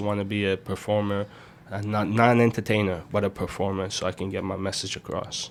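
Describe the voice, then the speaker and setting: A man with an Iranian accent. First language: Farsi. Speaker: rapper and music producer. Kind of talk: interview.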